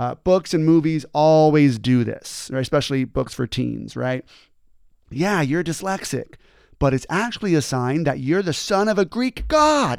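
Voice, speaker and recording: On a very clean recording with a silent background, a man with an ordinary speaking voice and fairly high pitch speaks at a moderate pace with lively intonation. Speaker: motivational speaker and former teacher. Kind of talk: motivational talk, scripted-style monologue. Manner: earnest, conversational, explanatory.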